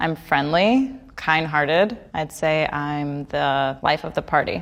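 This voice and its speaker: A woman with an American accent speaks very slowly at a very deep, low pitch. Her intonation is lively, and the background is quiet. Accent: slight New York accent on some words. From New York City (Queens). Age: 30s. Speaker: high school math teacher on a blind date. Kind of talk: interview monologue.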